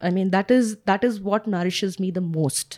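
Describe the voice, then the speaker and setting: A woman speaks at a moderate pace in a dry, close recording with no echo. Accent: Indian. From India, Kerala family, grew up outside Kerala. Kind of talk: casual interview. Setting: recorded outdoors next to a park.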